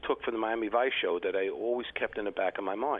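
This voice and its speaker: A man speaks with a New York accent. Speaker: retired customs agent and basketball coach. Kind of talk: interview.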